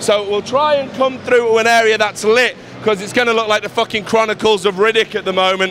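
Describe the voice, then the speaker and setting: Against noticeable background noise, a high-pitched man with an English accent talks at a fairly quick pace. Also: fairly even intonation. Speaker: esports reporter. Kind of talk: video tour. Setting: indoor event hall. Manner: casual, frequent fillers.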